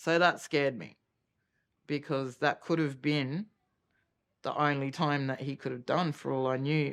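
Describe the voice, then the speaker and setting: In an Australian accent, a woman with a very deep, low voice speaks at a fairly slow pace in a monotone, flat way, recorded very cleanly with a silent background. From Australia, Cairns, Queensland. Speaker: mother of an abuse victim. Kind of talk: documentary interview testimony.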